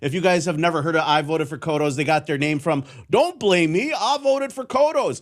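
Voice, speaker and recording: Talking at a fairly quick pace, a man with a Wisconsin accent uses a high pitch and very wide pitch swings. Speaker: radio host. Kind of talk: casual monologue. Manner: not crisp, filler-heavy.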